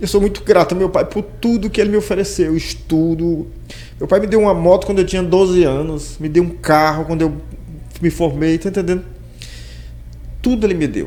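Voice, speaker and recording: Over noticeable background noise, a man with a high pitch talks at a fairly quick pace with fairly even intonation and long, frequent pauses. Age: 60s. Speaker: podcast host. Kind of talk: interview.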